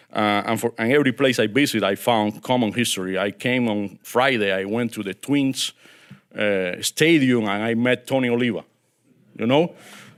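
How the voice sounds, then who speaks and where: Speaking with a Cuban accent, a man uses a medium pitch, ordinary pitch variation and a moderate pace on a very clean recording with a silent background. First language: Spanish. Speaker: diplomat. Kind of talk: keynote speech. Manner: halting.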